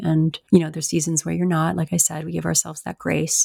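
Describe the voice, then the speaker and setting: A woman with a normal speaking voice, fairly low pitch and lively intonation is heard in a dry, close sound with no echo, on a very clean recording with a silent background. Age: 50s. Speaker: life and spiritual coach, hypnotherapist. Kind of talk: interview.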